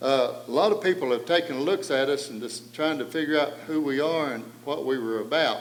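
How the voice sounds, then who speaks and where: A man with an Appalachian accent, fairly high pitch, ordinary pitch variation and a fairly quick pace with hardly any pauses, plus audible room echo and noticeable background noise. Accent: Appalachian Southern US. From East Tennessee, Cades Cove. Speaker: panel moderator. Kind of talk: public talk.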